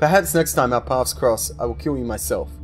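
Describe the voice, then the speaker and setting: Over clear music in the background, a man growls in a put-on character voice at a fairly quick pace. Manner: menacing.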